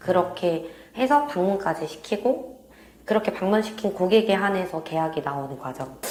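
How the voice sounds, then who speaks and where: Over noticeable background noise, a woman with a fairly low voice speaks with lively intonation. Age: 20s. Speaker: real estate sales consultant. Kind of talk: interview answer.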